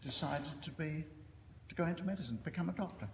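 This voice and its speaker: A man's pitch swings very widely, with audible room echo and noticeable background noise around him. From East End of London. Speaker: surgeon and professor. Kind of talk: after-dinner speech. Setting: reunion dinner with audience. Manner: hesitant, many fillers.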